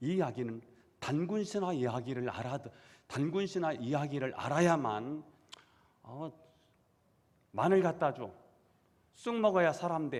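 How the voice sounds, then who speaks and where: A man with a fairly high pitch talks at a fairly slow pace, his intonation lively and broken by long, frequent pauses. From South Korea, Chungcheong (Dangjin/Seosan area). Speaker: pastor. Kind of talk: sermon. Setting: church.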